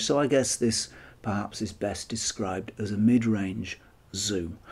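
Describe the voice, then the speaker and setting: A man speaks in a fairly low voice with a dark, mellow tone. His pace is fairly slow. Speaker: camera lens reviewer. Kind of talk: tutorial review talk. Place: home room.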